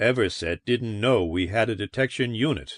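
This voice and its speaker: A man in a put-on character voice speaks at medium pitch and a moderate pace with ordinary pitch variation, the sound dry and close with no echo over a quiet background. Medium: read story. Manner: weary, gloomy.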